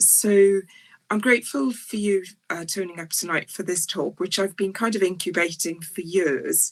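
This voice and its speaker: A woman speaks with a South Welsh accent and ordinary pitch variation. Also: medium pitch for a woman, moderate pace. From South Wales, near Port Talbot. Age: 60s. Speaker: psychiatrist. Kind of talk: lecture. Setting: online talk. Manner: hesitant, frequent ums.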